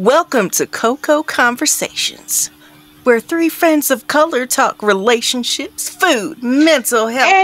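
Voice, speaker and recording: A woman speaks very slowly at a high pitch with lively intonation and very even loudness. Noticeable background noise runs behind her. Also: dry, close sound with no echo. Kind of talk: podcast host intro.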